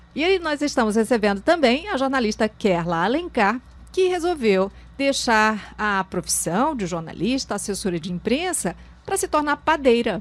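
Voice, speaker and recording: A woman's fairly high voice moves through very wide pitch swings at a moderate pace. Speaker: talk show host. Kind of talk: talk show interview.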